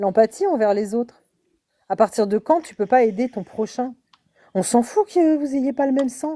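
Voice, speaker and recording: A woman speaks fairly slowly with a high pitch and a dark, mellow tone, her loudness swinging widely. The sound is dry and close, with no echo. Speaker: live chat participant. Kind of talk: casual chat. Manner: animated.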